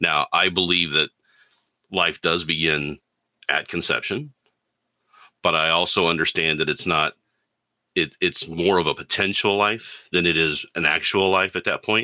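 A man with a very deep, low pitch and a bright, sharp tone speaks with long, frequent pauses and very even loudness. The recording is very clean and dry, close with no echo and a silent background. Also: fairly even intonation, moderate pace. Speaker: panelist. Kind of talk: panel discussion, friendly debate.

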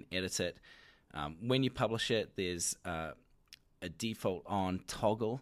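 Vocal fry and lively intonation mark this man's speech in a New Zealand accent. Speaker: company announcer presenting product features. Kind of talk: product announcement, spoken off the cuff. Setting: recorded into a microphone.

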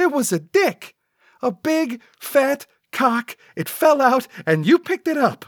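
In a put-on character voice, a man speaks slowly at an extremely high pitch with big pitch swings, the sound dry and close with no echo on a very clean recording with a silent background.

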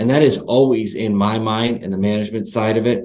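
A man with an American accent speaks at a moderate pace and medium pitch with ordinary pitch variation, in an unremarkable speaking voice. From US Northeast. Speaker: company CEO. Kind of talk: interview.

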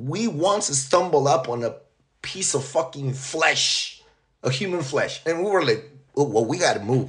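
With a New York accent, a man talks in a fairly high pitch with a somewhat breathy quality. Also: lively intonation. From Long Island, New York. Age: 40s. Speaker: author, deportee. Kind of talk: interview. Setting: remote call.

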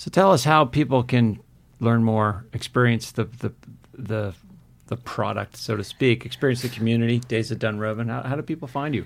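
A man's medium-pitched voice moves at a moderate pace, its pitch varying in an ordinary way. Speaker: podcast host and marketing professor. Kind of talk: podcast interview. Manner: enthusiastic.

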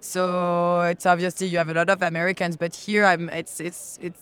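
The speaker has a strong French accent. The pace is fairly quick. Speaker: crypto company representative. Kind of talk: casual interview. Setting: conference expo floor. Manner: halting, hesitant.

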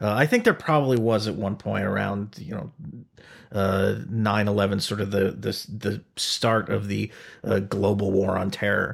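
A man with an American accent talks at a moderate pace with vocal fry. His pitch is fairly low. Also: fairly even intonation, very clean recording, silent background. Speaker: podcast host. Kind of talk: casual interview. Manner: chatty, informal, with filler words.

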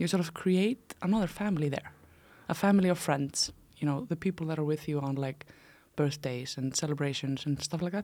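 In an Icelandic accent, a woman speaks at a fairly quick pace with a very deep, low pitch and a dark, mellow tone. The recording is very clean, with a silent background. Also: ordinary pitch variation. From Iceland, small town in the north. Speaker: startup founder and CEO. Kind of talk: casual interview. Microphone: close to the mic.

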